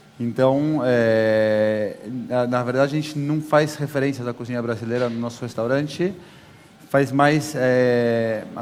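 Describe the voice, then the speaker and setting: A medium-pitched male voice at a fairly slow pace, with audible room echo and noticeable background noise. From Brazil, São Paulo. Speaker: chef. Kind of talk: on-stage interview. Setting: stage with audience.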